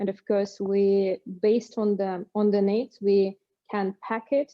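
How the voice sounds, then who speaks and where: Speaking at a fairly slow pace, a woman with a non-native accent keeps a medium pitch in monotone, flat intonation. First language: not English. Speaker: company executive. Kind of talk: webinar panel Q&A. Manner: halting.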